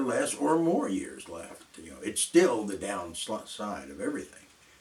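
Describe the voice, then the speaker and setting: A man speaks at a moderate pace with an American accent. Noticeable background noise runs behind him. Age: 70s. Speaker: video blogger. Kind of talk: casual monologue. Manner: halting.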